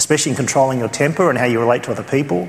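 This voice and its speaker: Through noticeable background noise, a man with an Australian accent speaks at medium pitch with ordinary pitch variation. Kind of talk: conference teaching. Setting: church conference.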